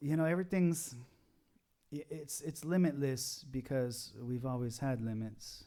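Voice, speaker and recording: At a fairly slow pace, a man speaks in a fairly high pitch and a dark, mellow tone with ordinary pitch variation. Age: 40s. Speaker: pop rock musician. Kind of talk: casual chat.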